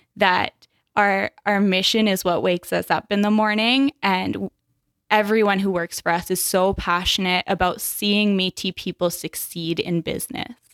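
A woman with a Canadian prairie accent speaks at a moderate pace and medium pitch, with fairly even intonation and very even loudness. The recording is very clean, with a silent background and a dry, close sound with no echo. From Saskatchewan, Canada. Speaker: business development specialist. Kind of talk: podcast interview.

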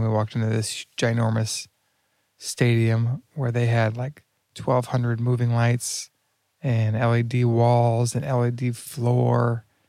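On a very clean recording with a silent background, the voice keeps a flat, monotone intonation. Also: man. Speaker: conference speaker and video producer. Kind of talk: casual chat. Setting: airport lounge, shared microphones.

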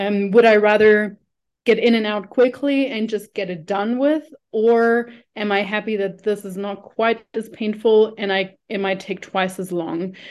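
A woman with a German accent, fairly high pitch, fairly even intonation, fairly slow pace. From Germany. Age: 30s. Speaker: nutrition coach. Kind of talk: casual chat.

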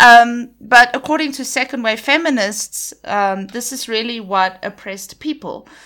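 A woman with a high pitch and a bright, sharp tone speaks at a moderate pace, with ordinary pitch variation and big swings in loudness. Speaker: podcast host. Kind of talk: solo monologue on film and feminism. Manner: casual, hesitant with many fillers.

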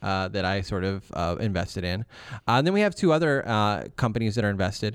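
A man with an unremarkable speaking voice and ordinary pitch variation, in a very clean recording with a silent background. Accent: American. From northern Ohio, Milan/Sandusky area. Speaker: founder of a music industry career school. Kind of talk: interview. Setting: recording studio.

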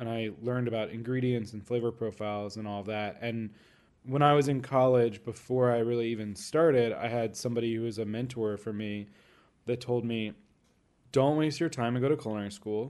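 This man has an unremarkable speaking voice, an American accent and a medium pitch. His intonation is fairly even, but his loudness swings widely. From Florida, US. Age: 30s. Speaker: chef. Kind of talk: interview.

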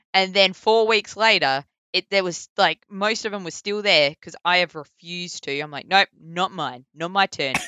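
A woman with a strong Australian accent talks at a moderate pace with hardly any pauses, ordinary pitch variation and big swings in loudness. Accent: broad Australian. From Perth, Western Australia. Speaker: voice actor. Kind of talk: casual interview. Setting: remote call across time zones. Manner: casual, laughs often.

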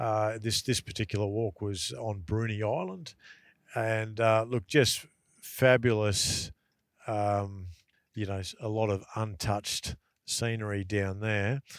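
In a very clean recording with a silent background, a man with a strong Australian accent speaks very slowly with a fairly low pitch and fairly even intonation. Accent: broad Australian. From rural Queensland, Australia (Dalby). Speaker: outdoor travel content creator. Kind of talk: casual interview. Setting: in a car. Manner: halting, many fillers.

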